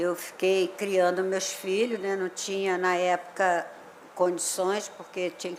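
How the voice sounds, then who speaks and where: The speaker is a woman with a medium pitch. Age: 60s. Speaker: resident, widow. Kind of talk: public hearing testimony. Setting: municipal chamber hearing.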